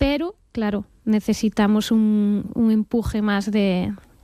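A woman's slow speech in a Galician accent, with a dark, mellow tone and ordinary pitch variation. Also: medium pitch for a woman.

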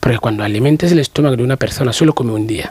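Speaking at a very fast pace, a man uses a medium pitch. His tone is slightly mellow with a slightly husky edge. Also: ordinary pitch variation.

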